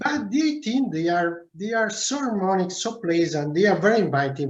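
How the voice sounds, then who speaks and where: A man with an Italian accent speaks at a moderate pace with hardly any pauses and very wide pitch swings, with audible room echo around him. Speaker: winemaker. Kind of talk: video call interview. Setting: video call. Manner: halting.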